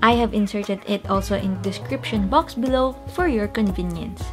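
A woman talks at a moderate pace with clear music playing in the background. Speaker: presenter. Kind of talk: tutorial. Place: home room.

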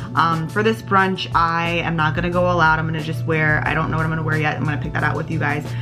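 Very fast speech with ordinary pitch variation over clear music in the background. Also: woman. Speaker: beauty vlogger. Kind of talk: casual vlog chat. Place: home room. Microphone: camera far.

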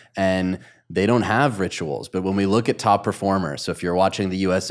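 A man talks at a moderate pace in a fairly low voice. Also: quiet background. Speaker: podcast host and coach; podcast host, coach. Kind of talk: podcast interview. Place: studio. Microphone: studio mic.

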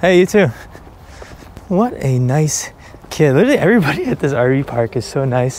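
An American-accented male voice with ordinary pitch variation, light background noise, and a dry sound with no echo. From Delaware, US. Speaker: fishing YouTuber. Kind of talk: casual vlog narration. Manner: animated. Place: open country. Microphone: phone near.

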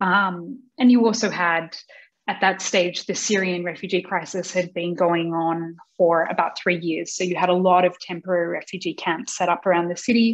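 Fairly even intonation at a moderate pace, in an Australian accent. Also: woman, fairly low pitch for a woman. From Australia, Sydney. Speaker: non-profit CEO and founder. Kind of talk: interview. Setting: video call. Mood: earnest, engaged. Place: home room. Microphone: video call.

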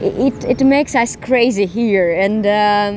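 A woman with a Russian accent speaks with ordinary pitch variation in a dry, echo-free sound over light background noise. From Russia (Smolensk, later Moscow). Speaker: actress. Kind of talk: casual interview. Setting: outdoors. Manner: halting. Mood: warm, reflective. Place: garden. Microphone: handheld.

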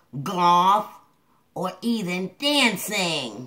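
A female-sounding voice at a medium pitch performs a cartoonish character voice. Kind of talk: comedic puppet advice show. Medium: puppet.

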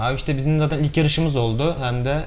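A man's voice over light background noise. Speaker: rally driver. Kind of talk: interview. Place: studio.

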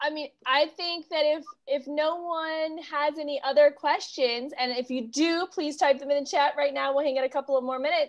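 A high-pitched woman's voice with hardly any pauses, over a quiet background. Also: fairly even intonation, moderate pace. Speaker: bookshop event host. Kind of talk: event introduction. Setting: video call. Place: home room. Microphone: earbuds.

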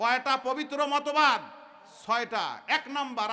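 Raised and projected, a man's extremely high voice comes across bright and sharp, with an animated tone and ordinary pitch variation. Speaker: Islamic preacher. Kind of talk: sermon. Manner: animated, call-and-response with audience.

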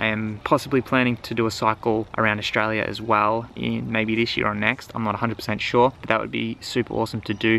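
Monotone, flat intonation at a fairly quick pace, dry with no echo, amid light background noise. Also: man. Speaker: bike touring vlogger. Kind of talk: casual vlog chat. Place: garden. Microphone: phone near.

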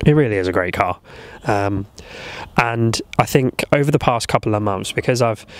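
Noticeable background noise runs behind this recording. A man speaks at a moderate pace with long, frequent pauses. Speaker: car owner vlogger. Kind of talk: casual talk to camera. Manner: monotone.

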